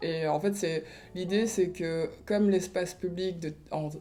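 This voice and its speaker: In a Rwandan accent, a woman with a dark, mellow tone speaks at a moderate pace with ordinary pitch variation. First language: Kinyarwanda (speaking French). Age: 30s. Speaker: artist and blogger. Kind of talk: interview testimony. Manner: hesitant, many fillers.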